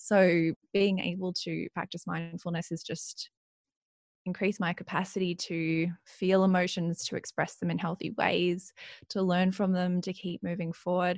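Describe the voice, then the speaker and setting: Calm in tone, a woman with an Australian accent speaks at fairly low pitch in a monotone, flat manner, recorded very cleanly against a silent background with a dry, close sound and no echo. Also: moderate pace. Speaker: mindfulness coach. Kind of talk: interview conversation.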